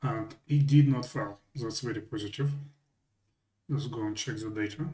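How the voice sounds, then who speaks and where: Here is a man at medium pitch with a dark, mellow tone that is somewhat breathy. His pace is moderate and his pitch varies in an ordinary way. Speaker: software tutorial presenter. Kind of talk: tutorial. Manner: hesitant, self-correcting.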